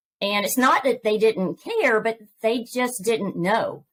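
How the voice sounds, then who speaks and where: A woman speaks with a Southern US accent. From Georgia, US South. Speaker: author and podcast host. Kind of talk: interview testimony.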